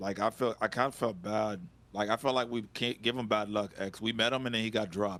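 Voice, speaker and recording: Speaking at a fairly quick pace, a man with a Haitian accent uses a fairly low pitch. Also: fairly even intonation, very clean recording, silent background. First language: Haitian Creole. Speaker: streamer. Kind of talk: casual chat.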